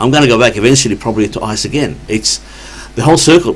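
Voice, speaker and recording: Noticeable background noise under a man's very fast speech with ordinary pitch variation. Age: 60s. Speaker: addiction worker. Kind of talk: casual chat.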